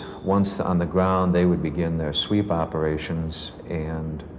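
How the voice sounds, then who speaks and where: Over noticeable background noise, a man speaks very slowly. His very deep, low voice stays monotone and flat. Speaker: war veteran. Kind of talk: interview answer.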